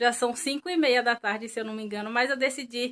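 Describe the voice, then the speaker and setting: A woman talks at a very fast pace with a bright, sharp tone. Her pitch is fairly high and her intonation fairly even. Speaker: vlogger. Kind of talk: casual vlog.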